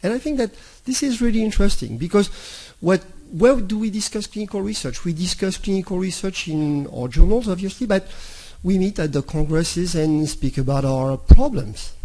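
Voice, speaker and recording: Here a man talks at a fairly quick pace in a high pitch. His tone is dark and mellow. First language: not English. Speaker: intensive care physician and speaker. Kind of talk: conference talk. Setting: stage with audience. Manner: halting, repeats words.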